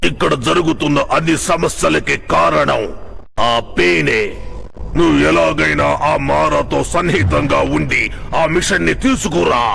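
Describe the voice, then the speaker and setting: A man puts on a character voice at medium pitch and a fairly slow pace. Background noise is clearly audible. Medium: fan dub. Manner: solemn, measured.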